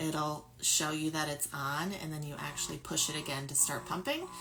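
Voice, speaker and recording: A woman speaks loudly at a moderate pace in a very deep, low pitch. Her tone is bright and sharp, with vocal fry. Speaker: lactation consultant and speech pathologist. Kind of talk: product review tutorial.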